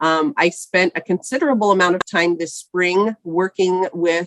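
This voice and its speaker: A woman speaks with a fairly low pitch and ordinary pitch variation. The sound is dry and close, without echo. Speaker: executive director of a state education transfer organization. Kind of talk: training presentation. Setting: virtual meeting.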